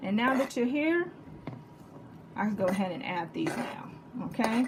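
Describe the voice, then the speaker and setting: A woman talks in a Texas accent with an animated tone. Noticeable background noise and audible room echo fill the recording. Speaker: home cooking channel host. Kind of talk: cooking tutorial.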